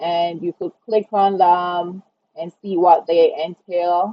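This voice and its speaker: A woman talks with a Jamaican accent in a fairly low pitch. Her pace is very slow. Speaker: online design tutorial creator. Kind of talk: tutorial. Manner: casual, conversational.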